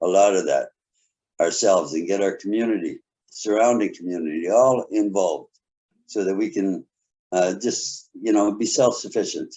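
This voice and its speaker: A man with a Canadian accent talks at a moderate pace. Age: 60s. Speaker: municipal council candidate. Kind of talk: candidate forum statement. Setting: video call.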